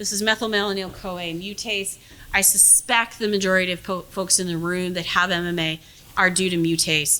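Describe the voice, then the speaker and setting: Noticeable background noise runs behind a woman's voice. She has a medium pitch and speaks at a moderate pace. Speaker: physician and geneticist. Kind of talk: lecture. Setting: room with audience. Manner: halting.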